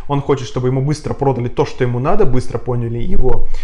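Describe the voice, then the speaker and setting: There is lively intonation in this man's speech. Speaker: indie game designer and English teacher. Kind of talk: interview conversation. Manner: hesitant, many filler sounds.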